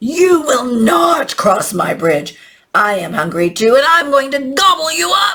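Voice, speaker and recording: In a put-on character voice, a female-sounding speaker growls at a high pitch, moving at a fairly slow pace with very wide pitch swings. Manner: angry, threatening.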